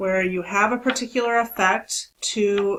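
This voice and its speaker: On a very clean recording with a silent background, a woman has an unremarkable speaking voice with a medium pitch and ordinary pitch variation. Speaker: statistics instructor. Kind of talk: recorded lecture.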